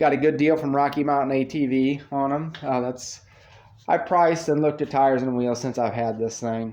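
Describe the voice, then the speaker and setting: A man talks at a moderate pace with fairly even intonation and a fairly high pitch. It is an ordinary speaking voice. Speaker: off-road vehicle vlogger. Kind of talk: casual vlog walkthrough.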